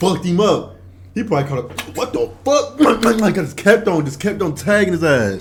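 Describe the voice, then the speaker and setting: Over noticeable background noise, a man with a high pitch talks at a moderate pace in an animated tone with very wide pitch swings. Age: 20s. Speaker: YouTube reaction commentator. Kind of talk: reaction commentary.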